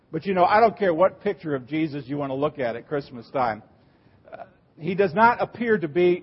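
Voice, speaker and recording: A man speaks at a fairly quick pace with a fairly high pitch. Background noise is noticeable. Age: 60s. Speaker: Lutheran pastor. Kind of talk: sermon. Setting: church.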